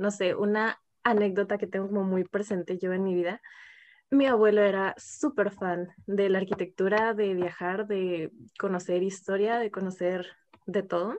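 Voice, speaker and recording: A woman speaks at a medium pitch and a fairly slow pace, with fairly even intonation and a normal speaking voice. The background is quiet. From Ensenada, Baja California, Mexico. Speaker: architecture student. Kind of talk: casual chat.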